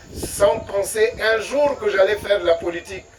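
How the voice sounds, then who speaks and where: A man speaks very slowly at a high pitch. There is noticeable background noise. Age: 60s. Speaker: political candidate. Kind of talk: campaign speech.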